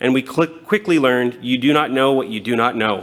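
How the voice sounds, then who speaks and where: Here is a plain, everyday voice moving at a fairly quick pace with ordinary pitch variation. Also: man. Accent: Canadian. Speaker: city transit manager. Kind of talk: conference presentation.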